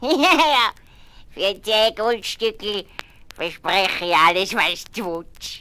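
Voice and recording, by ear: A woman speaks very slowly in a put-on character voice, her pitch medium and her intonation lively. She leaves long pauses, and they come often.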